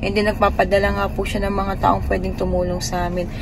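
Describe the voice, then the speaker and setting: A woman talks over noticeable background noise, with audible echo in the room. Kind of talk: casual vlog talk.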